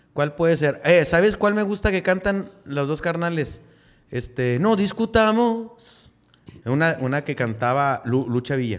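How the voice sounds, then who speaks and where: Speaking at a fairly slow pace against a quiet background, a man with a fairly high voice for a man makes very wide pitch swings. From Monterrey, Nuevo León, Mexico. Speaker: comedian; podcast guest. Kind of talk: casual chat. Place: studio. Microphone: studio mic.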